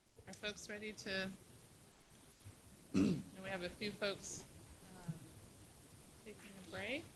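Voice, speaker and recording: A soft-spoken woman at a medium pitch and fairly slow pace, with fairly even intonation, long, frequent pauses and big swings in loudness. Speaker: retreat facilitator. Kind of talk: facilitated planning meeting.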